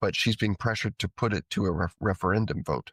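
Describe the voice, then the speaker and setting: A man with a Canadian accent talks at a moderate pace in an ordinary speaking voice, his fairly low pitch showing ordinary variation, on a very clean recording with a silent background and a dry, close sound with no echo. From Canada. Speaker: podcast co-host. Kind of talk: casual chat.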